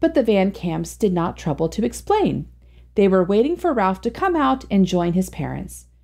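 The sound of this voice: Someone reads in an unforced voice.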